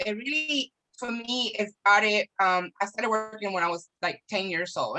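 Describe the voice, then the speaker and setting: A woman with a Spanish accent, a fairly high pitch and ordinary pitch variation. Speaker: small business owner. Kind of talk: casual chat.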